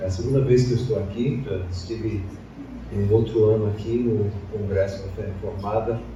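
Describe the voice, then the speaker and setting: Against noticeable background noise and audible room echo, a man with a fairly low pitch talks at a moderate pace in fairly even intonation. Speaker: pastor. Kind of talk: sermon. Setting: church.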